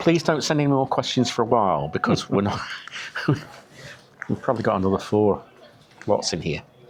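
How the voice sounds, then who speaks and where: A man speaks at a moderate pace with very wide pitch swings, noticeable background noise behind him. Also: medium pitch for a man. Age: 60s. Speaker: travel vlogger. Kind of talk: casual chat. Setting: cafe.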